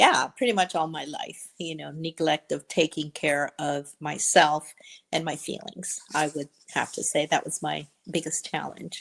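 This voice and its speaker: The voice has vocal fry and fairly even intonation at a fairly slow pace. Its loudness swings widely. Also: woman, very deep, low pitch for a woman. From Honduras. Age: 60s. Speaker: coaching client. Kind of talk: interview testimony. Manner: hesitant, many fillers.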